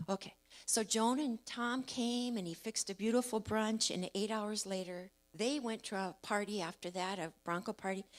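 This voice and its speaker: An unremarkable speaking voice, a woman's, fairly high in pitch with ordinary pitch variation. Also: moderate pace. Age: 60s. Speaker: church member sharing testimony. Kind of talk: testimony. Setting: church service. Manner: casual storytelling.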